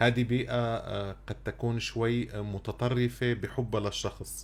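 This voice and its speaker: A man with a Syrian accent, speaking at a very slow pace. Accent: Syrian Arabic (Levantine). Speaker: radio podcast host. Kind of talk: radio interview. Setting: radio studio, on air.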